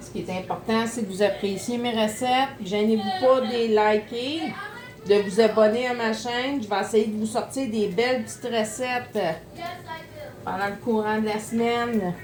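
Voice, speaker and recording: A woman with a Quebec accent speaks at a fairly slow pace, her fairly high pitch held in fairly even intonation, with big swings in loudness, audible room echo and noticeable background noise. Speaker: home cooking youtuber. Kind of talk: cooking tutorial. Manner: casual, chatty.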